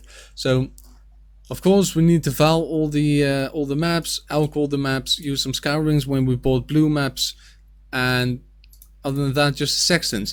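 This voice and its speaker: A man talks with a Dutch accent at a fairly slow pace. His pitch is fairly high and his intonation fairly even. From Netherlands. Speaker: gaming youtuber and streamer. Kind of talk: gameplay commentary. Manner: casual with filler words.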